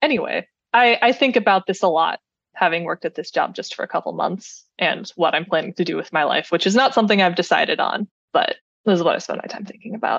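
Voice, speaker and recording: A woman with an American accent speaks very fast at a medium pitch, her intonation lively and the sound dry and close with no echo. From US Midwest, Cleveland, Ohio. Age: 20s. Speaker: software engineer, podcast listener. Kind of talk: casual interview.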